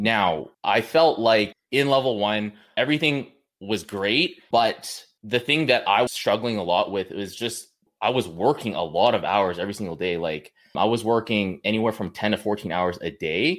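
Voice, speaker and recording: On a very clean recording with a silent background, a man with a Western Canadian accent speaks at a fairly low pitch with lively intonation. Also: moderate pace. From Canada, British Columbia (Kamloops). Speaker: online fitness coach. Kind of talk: casual interview chat.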